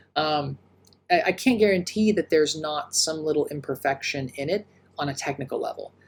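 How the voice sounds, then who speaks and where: A man talks with a fairly high pitch and ordinary variation in his pitch. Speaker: music producer. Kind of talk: tutorial. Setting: home office. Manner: casual.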